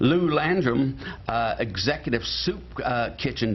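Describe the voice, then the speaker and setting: Over noticeable background noise, a man speaks at fairly high pitch with lively intonation. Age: 70s. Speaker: talk show host. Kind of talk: casual chat. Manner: halting.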